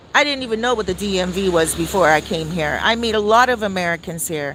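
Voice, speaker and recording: A woman with a medium pitch talks in an animated tone with lively intonation. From Canada, downtown Toronto. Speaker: celebrity news commentator. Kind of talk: casual commentary monologue.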